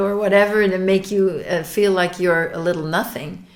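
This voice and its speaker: A woman talks at a fairly slow pace in a fairly low voice. Room echo is audible. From Belgium. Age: 60s. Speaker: abuse survivor. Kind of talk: testimony. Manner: halting, with frequent repetitions and fillers.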